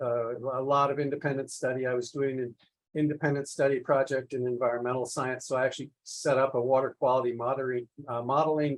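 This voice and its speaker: This man has an ordinary speaking voice with an American accent. He talks fairly quickly at a fairly high pitch. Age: 60s. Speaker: polymath, environmental scientist. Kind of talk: podcast interview.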